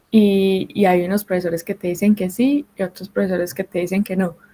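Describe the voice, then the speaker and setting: A woman with a Colombian accent, somewhat breathy and dark, mellow in tone, at a medium pitch and a moderate pace with fairly even intonation. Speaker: mining engineer. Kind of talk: panel talk. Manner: hesitant, with fillers.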